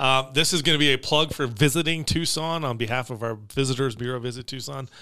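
A man's medium-pitched voice, bright and sharp in tone, at a fairly quick pace with ordinary pitch variation. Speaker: podcast host. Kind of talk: casual chat.

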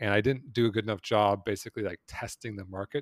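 Talking fairly quickly, a man has a plain, everyday voice with ordinary pitch variation, heard dry and close with no echo on a very clean recording with a silent background. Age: 40s. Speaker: investor and entrepreneur. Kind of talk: interview.

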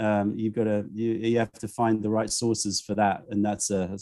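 A man is speaking. His tone is dark and mellow. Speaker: tea vendor and YouTuber. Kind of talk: casual interview chat. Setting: video call.

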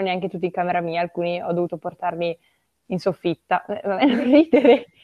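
Here a woman speaks at a moderate pace. Her intonation is lively. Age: 20s. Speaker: literature student. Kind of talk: casual chat.

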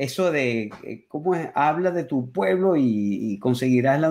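Lively intonation carries a man's medium-pitched voice. He talks at a very slow pace. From Venezuela, Caracas. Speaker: music YouTuber and musician. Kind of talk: interview.

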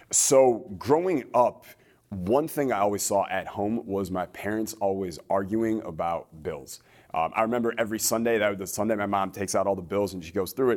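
A man speaks at a moderate pace in a fairly low pitch with ordinary pitch variation, an ordinary speaking voice. The recording is very clean, with a silent background. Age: 20s. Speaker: entrepreneur and business coach. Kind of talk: interview.

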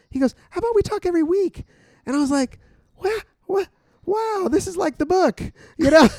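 Loud and at an extremely high pitch, a man talks at a fairly quick pace with lively intonation and long, frequent pauses, the sound dry and close with no echo. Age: 50s. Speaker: missionary and podcast co-host. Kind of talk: casual chat.

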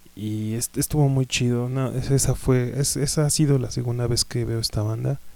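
A man speaks with a Mexican accent at a moderate pace. His voice is medium in pitch with a dark, mellow tone. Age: 30s. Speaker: podcast host, music fan. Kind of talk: casual monologue. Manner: halting, many fillers.

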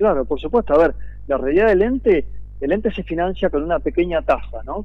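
A man with an Argentine accent. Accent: Argentine Spanish (rioplatense voseo). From Argentina, Viedma (Río Negro). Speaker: city councillor. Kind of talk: radio interview. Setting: phone call.

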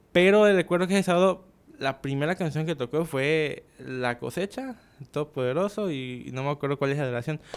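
A man with a plain, everyday voice talks fairly quickly at a fairly high pitch, with ordinary pitch variation. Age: 20s. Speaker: drummer. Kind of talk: casual chat.

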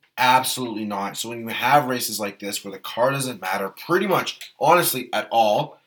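The man has a plain, everyday voice, keeping a moderate pace and ordinary pitch variation. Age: 20s. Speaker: F1 podcast co-host. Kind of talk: casual chat.

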